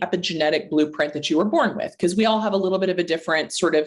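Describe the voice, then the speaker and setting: Speaking at a medium pitch, a woman uses lively intonation. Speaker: naturopathic doctor. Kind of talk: interview. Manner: fast.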